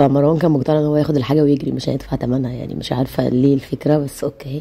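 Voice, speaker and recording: In an Egyptian accent, a woman talks very fast in a very deep, low voice with a dark, mellow tone and a monotone, flat delivery. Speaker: family vlogger, mother. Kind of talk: vlog voiceover narration. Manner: casual, chatty.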